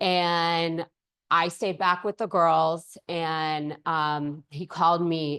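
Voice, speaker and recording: In an American accent, a woman speaks at a very deep, low pitch, the sound dry and close with no echo over a quiet background. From Altadena, Southern California. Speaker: lawyer. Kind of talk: presentation. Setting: room with small audience, no mic. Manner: loud.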